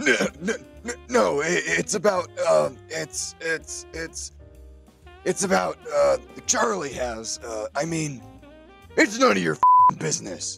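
A man's cartoonish character voice, fairly high in pitch with big pitch swings, bright and sharp in tone with vocal fry, at a slow pace over faint music in the background

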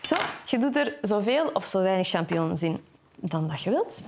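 At a moderate pace, a woman talks while noticeable background noise continues. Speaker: TV cooking show host. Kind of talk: cooking tutorial. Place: kitchen. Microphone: lapel.

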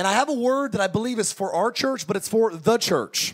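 Lively intonation from a man, quiet background. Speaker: pastor. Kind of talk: sermon. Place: tent. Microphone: handheld.

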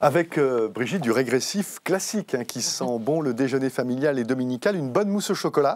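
Captured in a very clean recording with a silent background, a man with a plain, everyday voice speaks at a medium pitch and a fairly quick pace with lively intonation. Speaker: TV host. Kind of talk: interview chat.

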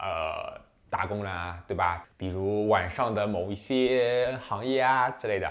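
Against a quiet background, a man speaks at a fairly slow pace. His pitch is fairly low, with ordinary pitch variation. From China. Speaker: international student vlogger. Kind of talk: casual advice monologue. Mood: relaxed, friendly. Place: home room. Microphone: lapel.

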